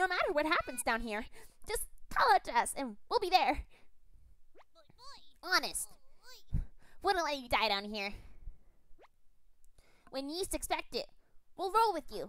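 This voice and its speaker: A high, put-on character voice with very wide pitch swings at a moderate pace. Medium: game stream. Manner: teasing, upbeat.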